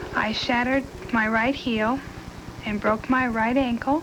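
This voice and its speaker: Noticeable background noise sits behind a woman's high-pitched voice. She speaks at a fairly slow pace. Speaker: crash survivor. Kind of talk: testimony.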